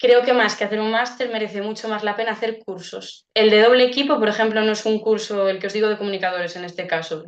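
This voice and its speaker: A woman at a fairly quick pace and fairly high pitch. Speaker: speech therapist giving a webinar. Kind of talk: webinar Q&A. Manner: fast.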